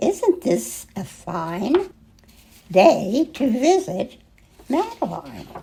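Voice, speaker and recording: In a put-on character voice, a woman speaks at a very slow pace and high pitch, with very wide pitch swings and long, frequent pauses. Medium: read story. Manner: gentle, motherly.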